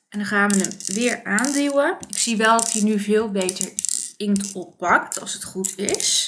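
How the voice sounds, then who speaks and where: Light background noise sits behind a woman's voice. She talks at a fairly slow pace with ordinary pitch variation. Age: 30s. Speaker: beauty and craft vlogger; craft vlogger. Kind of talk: product review tutorial. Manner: casual, hesitant with fillers. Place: home room.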